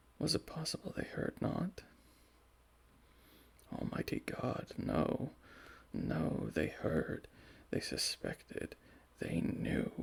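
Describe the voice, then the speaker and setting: Soft-spoken delivery comes at a very slow pace, broken by long, frequent pauses. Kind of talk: ASMR story reading.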